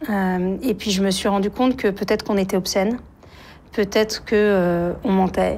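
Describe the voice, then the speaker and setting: A woman talks at a medium pitch. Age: 40s. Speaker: writer and journalist. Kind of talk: interview testimony. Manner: halting, many hesitations.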